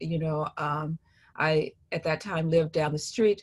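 Against a quiet background, a woman with a fairly low pitch and a somewhat breathy voice speaks at a moderate pace. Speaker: interviewee. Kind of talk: interview answer. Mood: calm, reflective. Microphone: video call.

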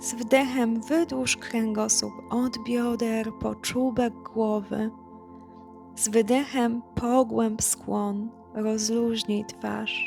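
A woman's calm, fairly high voice at a very slow pace, with fairly even intonation and music in the background. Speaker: yoga instructor. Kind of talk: guided yoga class instruction. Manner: calm, soft-spoken.

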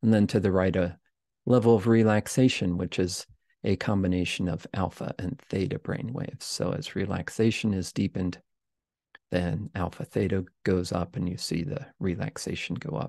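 Over a quiet background, a man speaks in a very deep, low pitch with ordinary pitch variation and a dark, mellow, calm tone. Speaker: podcast host and meditation teacher. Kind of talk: guided meditation with screen-share explanation. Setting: livestream screen share, self-recorded. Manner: calm, slow, soft-spoken; instructive, measured, explanatory. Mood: calm, gentle. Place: home room.

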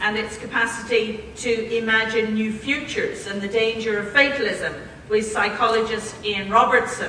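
Amid light background noise and audible room echo, a woman speaks at a moderate pace with fairly even intonation. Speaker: institute director introducing a lecture. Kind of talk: formal introduction speech. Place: hall.

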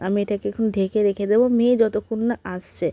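A woman with a dark, mellow tone speaks at a medium pitch and fairly even intonation, in a dry, close sound with no echo. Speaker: vlogger, housewife. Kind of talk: casual vlog narration. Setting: at home. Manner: soft-spoken.

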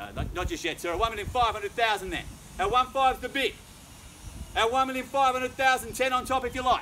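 A man speaks at a very fast pace in a raised, projected voice with an extremely high pitch and an energetic tone. His pitch variation is ordinary, and there is light background noise. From Australia. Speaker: auctioneer. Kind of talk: live auction bidding call. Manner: fast, energetic. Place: garden. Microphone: camera far.

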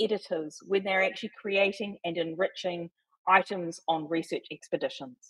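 A woman with a New Zealand accent at a moderate pace. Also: quiet background. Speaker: volunteer wiki editor. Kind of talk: presentation. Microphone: video call.

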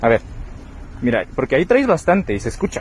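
At a fairly quick pace, a man with a medium-pitched voice speaks with big pitch swings over faint background noise.

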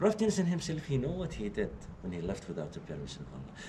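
Noticeable background noise sits behind a man talking. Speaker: tour guide. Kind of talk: storytelling explanation to visitors. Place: church. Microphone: camera far.

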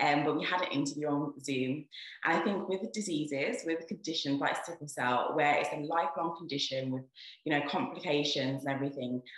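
A woman with a very deep, low voice speaks at a fairly quick pace amid audible room echo. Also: ordinary pitch variation. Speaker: doctor. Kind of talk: casual talk to camera and interviewing.

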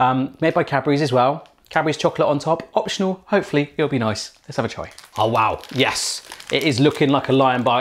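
With an English accent, a man speaks fairly quickly in a fairly high voice with ordinary pitch variation. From England. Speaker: YouTube cooking channel host; food vlogger. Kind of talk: casual taste-test video. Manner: animated. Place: kitchen. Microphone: new microphone, less echoey; lapel.

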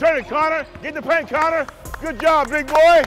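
A man talking at a moderate pace over clear background music. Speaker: basketball assistant coach. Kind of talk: coaching instructions. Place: hall. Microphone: lapel.

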